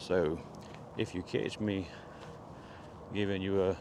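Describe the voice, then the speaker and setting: A quiet, very deep, low male voice with a Southern US accent and flat, monotone intonation. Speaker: vlogger. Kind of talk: casual vlog monologue. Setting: outdoors in the woods. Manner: quiet, hushed.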